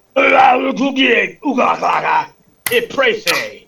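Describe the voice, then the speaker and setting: A man speaks in a put-on character voice, pitched extremely high, at a fairly slow pace. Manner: comical nonsense-sounding speech.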